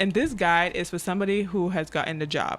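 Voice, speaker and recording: A woman's fairly low voice with an African accent at a fairly quick pace, with music in the background. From Cameroon. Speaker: agile coach and author. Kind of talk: podcast interview.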